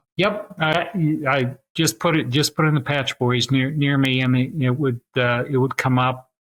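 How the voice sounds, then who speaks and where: Here a man speaks fairly slowly at a medium pitch, with ordinary pitch variation. His loudness stays very even, and the sound is dry and close, with no echo. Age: 60s. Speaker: drywall repair franchise executive. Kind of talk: podcast interview. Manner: calm; halting.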